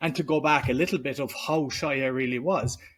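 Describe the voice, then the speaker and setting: With a Cork accent, a man speaks at a moderate pace in a fairly high voice with ordinary pitch variation, on a very clean recording with a silent background. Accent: Cork Irish. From Ireland, Cork. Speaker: entrepreneur and podcaster. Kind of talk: interview conversation.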